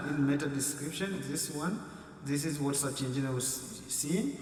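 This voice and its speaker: Against noticeable background noise and audible room echo, a man talks at a fairly high pitch. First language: not English. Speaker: blogging tutorial youtuber. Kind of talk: tutorial. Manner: halting, many fillers.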